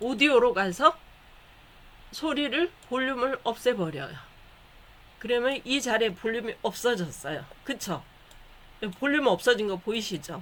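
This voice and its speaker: The pace is fairly slow. Long pauses come often. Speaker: online class instructor. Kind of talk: tutorial.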